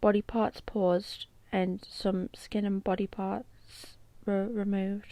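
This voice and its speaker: A woman with a British accent, medium pitch and a dark, mellow tone. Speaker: true crime YouTuber. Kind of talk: true crime narration.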